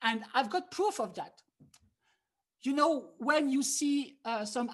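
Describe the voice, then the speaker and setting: Speaking fairly slowly in a French accent, a woman sounds somewhat breathy, with ordinary pitch variation. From France. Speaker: harmonica player and teacher. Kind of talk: online workshop lecture. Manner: animated.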